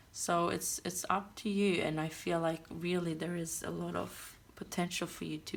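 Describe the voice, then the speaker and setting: In a non-native accent, this woman talks at a fairly slow pace. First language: not English. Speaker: tarot reader. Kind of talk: tarot reading. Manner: hesitant, with fillers.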